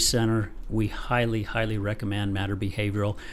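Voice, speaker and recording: Speaking fairly quickly in a normal speaking voice, a man holds a medium pitch with fairly even intonation. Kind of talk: podcast host talk.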